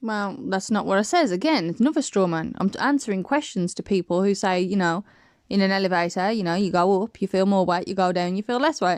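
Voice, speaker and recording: Mumbling at a very fast pace, a woman speaks with ordinary pitch variation against a quiet background. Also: medium pitch for a woman. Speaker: flat earth video maker. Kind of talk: casual rebuttal commentary.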